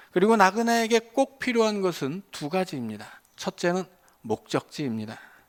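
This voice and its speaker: Very wide pitch swings run through speech at a moderate pace on a very clean recording with a silent background. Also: man, high pitch for a man. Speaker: pastor. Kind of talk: sermon. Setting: church. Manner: hesitant fillers (어,).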